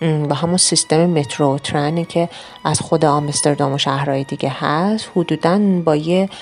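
Beneath noticeable background noise, a woman with a very deep, low pitch speaks with fairly even intonation and very even loudness. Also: moderate pace. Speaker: travel podcast narrator. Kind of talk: travelogue narration. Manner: casual conversational.

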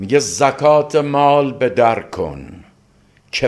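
With vocal fry throughout, a man speaks at a very slow pace. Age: 60s. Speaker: literature professor and translator. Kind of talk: interview.

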